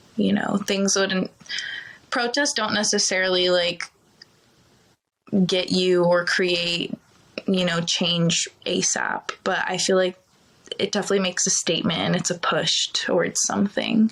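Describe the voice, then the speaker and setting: A woman talks at a fairly slow pace with long, frequent pauses and vocal fry. Her loudness stays very even and her intonation fairly even. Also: medium pitch for a woman. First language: Ukrainian. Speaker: TV news producer. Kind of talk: casual chat. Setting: podcast.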